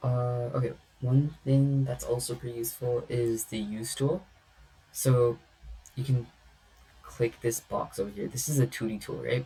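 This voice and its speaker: A man at a medium pitch and moderate pace, with fairly even intonation and long, frequent pauses. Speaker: CAD instructor. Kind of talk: tutorial. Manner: casual, filler-heavy.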